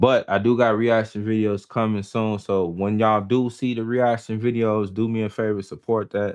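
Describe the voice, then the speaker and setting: A man with an American accent and a fairly low pitch talks at a moderate pace in a monotone, flat manner with hardly any pauses, over a quiet background. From Chicago, Illinois, US. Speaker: live streamer, podcast host. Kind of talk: casual live stream chat. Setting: late-night live stream.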